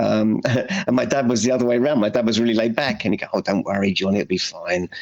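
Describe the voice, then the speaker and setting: Speaking very fast, a man delivers his words with a British accent. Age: 60s. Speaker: anxiety therapist. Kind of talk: podcast interview.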